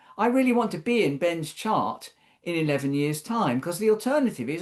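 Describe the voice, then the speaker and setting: The speaker talks at a moderate pace. There is a British accent. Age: 60s. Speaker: social care policy expert panelist. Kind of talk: webinar panel talk. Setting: online webinar. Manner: thoughtful, conversational with hesitations.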